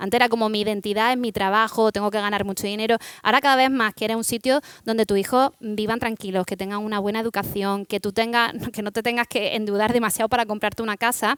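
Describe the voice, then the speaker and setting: With a dry, close sound and no echo, a woman speaks at a very fast pace in a fairly high pitch with monotone, flat intonation. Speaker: startup founder. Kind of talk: panel discussion.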